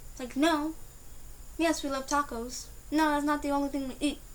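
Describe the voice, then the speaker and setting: A high-pitched woman at a moderate pace, with audible room echo. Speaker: vlogger. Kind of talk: opinion vlog rant. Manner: loud; animated.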